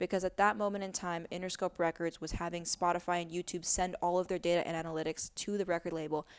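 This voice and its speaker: A woman with an American accent speaks very fast in a fairly low pitch, with monotone, flat intonation and hardly any pauses. The recording is very clean with a silent background and a dry, close sound with no echo. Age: 30s. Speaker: musician and activist. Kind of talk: casual chat. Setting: home recording on a couch.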